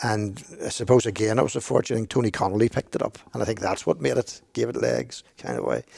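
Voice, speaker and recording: A man talks at a very fast pace in a Belfast accent. He barely pauses at all. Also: dry, close sound with no echo. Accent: Belfast Northern Irish. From Northern Ireland, East Belfast. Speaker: archbishop. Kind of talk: casual discussion.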